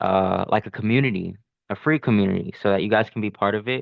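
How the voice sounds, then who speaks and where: A man with a normal speaking voice talks at a fairly low pitch, his intonation lively. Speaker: day trader vlogger. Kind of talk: casual trading vlog. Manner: filler-heavy, repetitive.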